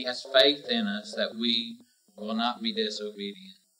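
Music plays in the background as a man talks at a moderate pace, his pitch swinging very widely. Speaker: preacher. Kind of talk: sermon.

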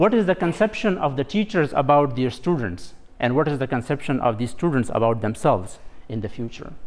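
A man talks at a fairly quick pace with a fairly high pitch. His voice swings very widely in pitch. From Pakistan. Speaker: doctoral student; presenter. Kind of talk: presentation. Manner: halting. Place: hall. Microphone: lapel.

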